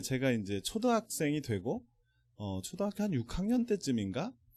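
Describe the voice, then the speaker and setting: A man talks at a fairly slow pace with lively intonation and a dark, mellow tone. The recording is very clean, the background silent. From South Korea, Gimje, North Jeolla. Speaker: business leader, invited speaker. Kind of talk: motivational seminar lecture.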